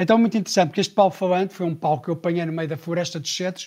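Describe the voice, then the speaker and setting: A high-pitched man speaks with fairly even intonation on a very clean recording with a silent background. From Portugal, Sintra area. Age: 40s. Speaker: travel leader. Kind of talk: casual interview.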